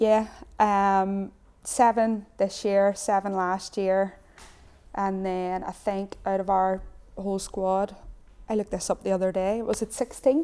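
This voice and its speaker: A woman with a Northern Irish accent speaks at a fairly slow pace and medium pitch, with long, frequent pauses and fairly even intonation. Her tone is dark and mellow, in a very clean recording with a silent background. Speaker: footballer and youth coach. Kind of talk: studio interview. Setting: TV studio.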